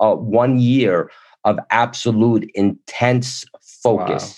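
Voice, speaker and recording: A man speaks at a medium pitch with fairly even intonation. It is a plain, everyday voice. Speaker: motivational speaker. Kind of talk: interview.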